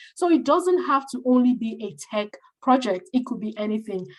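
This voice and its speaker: A woman speaks in a somewhat breathy voice. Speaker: career coach. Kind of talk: online masterclass presentation. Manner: fast.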